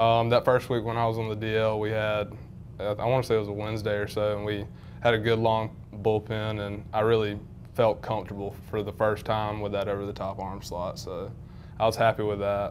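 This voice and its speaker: Monotone, flat delivery in a Southern US accent at a fairly quick pace. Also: man, fairly low pitch for a man. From North Carolina, Wendell. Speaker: college baseball pitcher. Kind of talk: sports interview.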